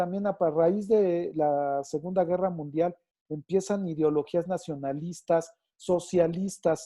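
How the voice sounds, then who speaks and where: In a Mexican accent, a man with a high pitch and a dark, mellow tone speaks at a fairly slow pace. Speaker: teacher. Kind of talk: online lecture. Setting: video call with screen share. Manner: halting with fillers.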